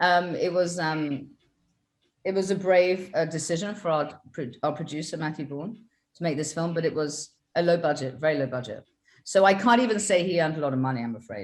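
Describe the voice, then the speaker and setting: A woman with a British accent talks at a fairly quick pace in a fairly low pitch, her intonation lively. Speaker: film director. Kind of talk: interview.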